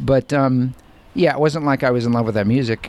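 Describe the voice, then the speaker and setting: A man is talking over noticeable background noise. His pitch varies in an ordinary way. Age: 40s. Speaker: musician and blogger. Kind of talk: casual chat. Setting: outdoors on a porch.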